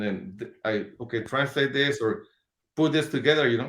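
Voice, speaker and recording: At a moderate pace, the speaker talks in a Spanish accent with ordinary pitch variation. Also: man. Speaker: hot sauce business owner. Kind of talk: casual interview.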